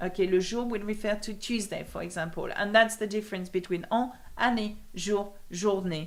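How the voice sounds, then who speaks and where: With a slight British accent, a woman speaks at a medium pitch and moderate pace, her intonation fairly even. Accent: slight British accent on English. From France. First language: French. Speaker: language teacher. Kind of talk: live stream Q&A. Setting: live video hangout. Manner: casual, hesitant with fillers.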